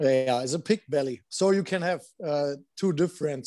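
This man's voice sits fairly high and has a dark, mellow tone. His pitch varies in an ordinary way. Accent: German. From Germany, Landshut. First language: German. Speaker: former pro hockey player. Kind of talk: casual chat. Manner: halting.

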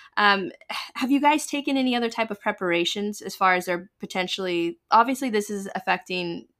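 In a normal speaking voice with an American accent, the speaker goes at a fairly quick pace with lively intonation on a very clean recording with a silent background. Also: woman, medium pitch for a woman. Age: 30s. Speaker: podcast host. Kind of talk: interview.

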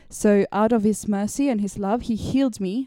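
Here a woman speaks with a Swedish accent. Her pace is moderate. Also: dry, close sound with no echo. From Sweden. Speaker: podcast guest. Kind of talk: casual faith discussion.

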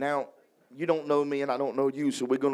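With a Louisiana accent, a man speaks in an energetic tone. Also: very clean recording, silent background. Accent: Louisiana, Southern US. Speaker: evangelist preaching a sermon. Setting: church revival service. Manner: energetic, emphatic preaching with call-and-response.

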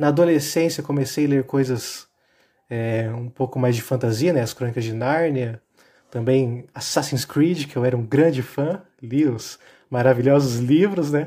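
This very clean recording with a silent background features a man speaking at a fairly slow pace and medium pitch. His tone is dark and mellow, somewhat breathy, with ordinary pitch variation. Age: 20s. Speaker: architecture student, podcast guest. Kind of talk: casual chat.

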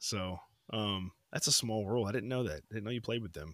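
A man with a normal speaking voice talks at a moderate pace in a fairly low pitch with ordinary pitch variation. The sound is dry and close, with no echo. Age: 30s. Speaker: podcast co-host. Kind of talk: casual chat.

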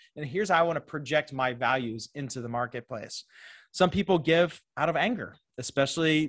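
A man with an American accent talks at a fairly high pitch and a fairly quick pace. It is an ordinary speaking voice, with lively intonation. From Pittsburgh, Pennsylvania, US. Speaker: fundraising consultant. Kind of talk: interview. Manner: filler-heavy, casual.

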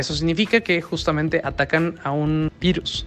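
Noticeable background noise sits under the recording. A man talks with a fairly high pitch. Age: 20s. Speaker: person living with HIV sharing experience. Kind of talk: interview testimony.

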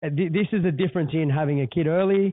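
The speaker, with an Australian accent, talks at a moderate pace. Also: man. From Australia, West or Central Coast. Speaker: podcast host, small business owner. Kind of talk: casual chat. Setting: podcast room in a hotel.

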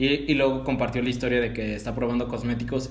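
A man speaks with a Mexican accent. The room echo is audible. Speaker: podcast host. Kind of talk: casual chat.

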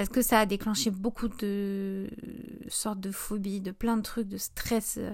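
A woman speaks at a fairly slow pace. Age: 20s. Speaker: podcast host and small business owner. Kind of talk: casual solo podcast monologue.

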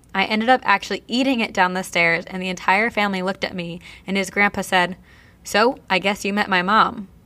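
In a very clean recording with a silent background, a woman speaks with an American accent. Her medium-pitched voice has a bright, sharp tone and a very fast pace. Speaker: podcast co-host. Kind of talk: casual chat. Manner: mumbles and slurs words.

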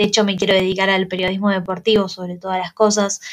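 A woman's monotone, flat delivery in a very clean recording with a silent background. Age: 20s. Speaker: student podcaster. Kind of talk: casual monologue.

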